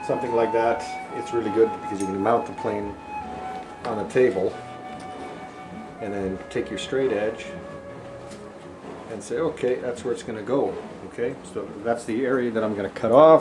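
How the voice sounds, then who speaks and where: A man at a moderate pace with ordinary pitch variation and long, frequent pauses, with clear music in the background. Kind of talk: tutorial. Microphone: camera far.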